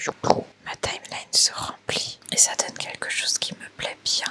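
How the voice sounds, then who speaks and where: A woman whispers fairly slowly, with noticeable background noise behind her. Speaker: video editor vlogger. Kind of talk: vlog narration. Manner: whispering.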